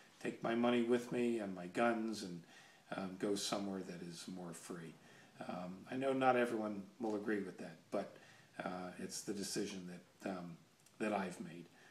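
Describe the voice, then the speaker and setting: A man talks at a fairly slow pace, and audible room echo surrounds his voice. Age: 60s. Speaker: gun enthusiast video blogger, military veteran. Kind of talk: casual monologue vlog. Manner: halting, many fillers.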